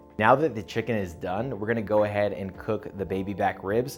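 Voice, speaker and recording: A man's fairly low voice at a fairly quick pace, with music in the background. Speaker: barbecue video creator. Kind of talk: tutorial vlog. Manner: hushed at night.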